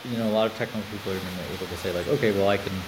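Over noticeable background noise and audible room echo, a man with an American accent speaks very fast at a fairly low pitch with fairly even intonation. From United States. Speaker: engineering executive. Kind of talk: interview.

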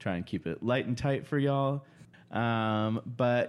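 This is a normal speaking voice on a very clean recording with a silent background. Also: man. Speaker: podcast host. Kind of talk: casual chat.

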